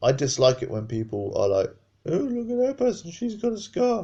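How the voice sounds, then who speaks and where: A male voice at a moderate pace. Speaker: carer and partner of a patient. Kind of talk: personal testimony. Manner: loud.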